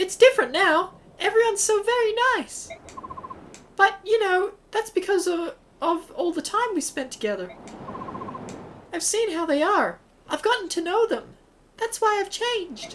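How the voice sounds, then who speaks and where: A female-sounding voice puts on a character at an extremely high pitch. Long pauses come often. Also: moderate pace. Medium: actual play.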